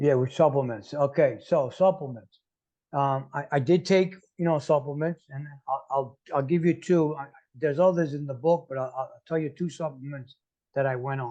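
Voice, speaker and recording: In an American accent, a man talks at a moderate pace with a fairly high pitch, a dark, mellow tone and fairly even intonation. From New York City. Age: 60s. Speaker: motivational speaker and coach. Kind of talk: casual interview. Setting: podcast interview. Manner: halting, frequent repetitions.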